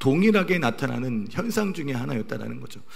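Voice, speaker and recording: Very wide pitch swings amid audible room echo and noticeable background noise. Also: man. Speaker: pastor. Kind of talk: sermon.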